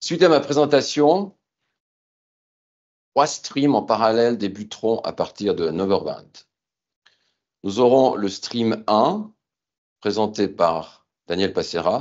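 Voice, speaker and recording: Very slow speech with lively intonation and long, frequent pauses. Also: man, medium pitch for a man. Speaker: company founder and CEO. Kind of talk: business keynote presentation. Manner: formal; hesitant fillers.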